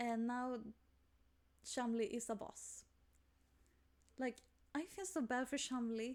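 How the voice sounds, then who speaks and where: A woman speaks at a very slow pace in a Swedish accent. Her pitch is high. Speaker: gaming youtuber. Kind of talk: game playthrough commentary.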